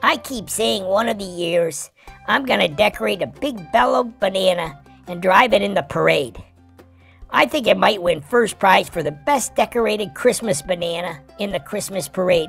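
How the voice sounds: Over faint music in the background, someone does a put-on character voice at a middle pitch and a moderate pace.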